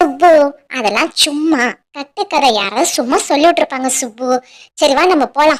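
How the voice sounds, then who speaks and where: In a cartoonish character voice, someone talks at a high pitch and a fairly slow pace. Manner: casual, conversational.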